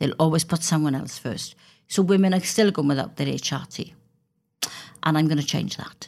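A woman with a Welsh accent speaks in a very deep, low voice with vocal fry and ordinary pitch variation. Her pace is moderate, broken by long, frequent pauses. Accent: Welsh (Swansea). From Wales. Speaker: politician. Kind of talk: interview.

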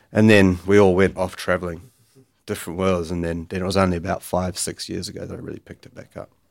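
A very fast, very deep man's voice with a New Zealand accent, flat monotone intonation and big swings in loudness, in a very clean recording with a silent background. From New Zealand, Bay of Islands. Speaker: gym founder. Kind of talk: podcast interview. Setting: studio.

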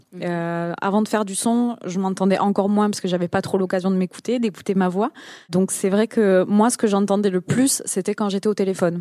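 This woman's voice has a dark, mellow tone at a medium pitch. She talks at a fairly quick pace with fairly even intonation. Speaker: podcast creator. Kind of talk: panel discussion. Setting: stage with audience.

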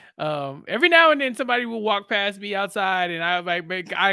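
A man projects a raised voice at a high pitch with a bright, sharp tone. The recording is very clean, with a silent background. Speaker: podcast co-host. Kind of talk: casual chat.

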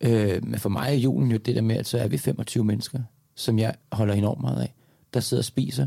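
With a dark, mellow tone and some vocal fry, a man speaks at medium pitch and a moderate pace, his pitch varying in an ordinary way. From Denmark, Lyngby near Copenhagen. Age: 40s. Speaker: actor, dancer and public speaker. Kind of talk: casual interview conversation.

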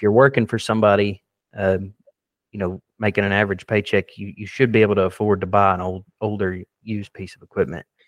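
A man with an American accent speaks at a fairly quick pace in an unremarkable speaking voice, his pitch fairly low. The sound is dry and close with no echo, the intonation fairly even, and the background quiet. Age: 20s. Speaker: excavation contractor. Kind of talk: interview.

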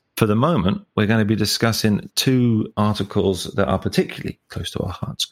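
Heard in a dry, close recording with no echo, a man with a plain, everyday voice talks at a fairly quick pace, his fairly low pitch moving with ordinary variation. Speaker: podcast host and lecturer. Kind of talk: podcast intro and discussion.

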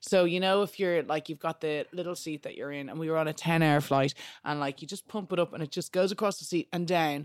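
A woman with a Dublin accent speaks at a fairly quick clip with hardly any pauses, her fairly low voice holding a fairly even intonation in a dry, close sound with no echo. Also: very clean recording, silent background. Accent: Dublin Irish. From Ireland, Dublin. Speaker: DJ and podcast presenter. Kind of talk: casual chat.

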